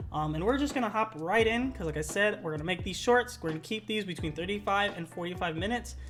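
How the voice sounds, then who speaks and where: Very fast with hardly any pauses, a woman speaks at medium pitch with vocal fry and lively intonation. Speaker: gaming league video host. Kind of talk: casual commentary chat.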